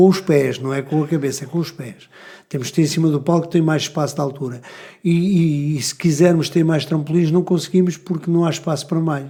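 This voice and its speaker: Using a plain, everyday voice, a man speaks at a fairly quick pace, fairly high in pitch, with fairly even intonation. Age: 60s. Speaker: gymnastics coach. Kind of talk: casual chat. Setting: podcast studio.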